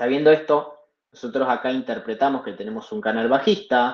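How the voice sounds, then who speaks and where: A man speaks with lively intonation. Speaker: trading instructor. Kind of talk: live online class. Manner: fast.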